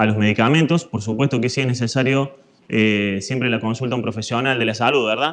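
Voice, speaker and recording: A man in a Córdoba accent, at a fairly quick pace. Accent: Argentine Córdoba. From Argentina, Córdoba. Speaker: fitness instructor, physical education teacher. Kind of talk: lecture.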